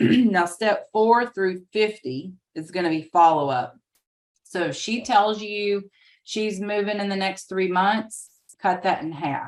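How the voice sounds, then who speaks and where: A woman speaks at a very slow pace and medium pitch. Her pitch variation is ordinary. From US South. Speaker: real estate trainer. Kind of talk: webinar training presentation. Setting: video call with screen sharing.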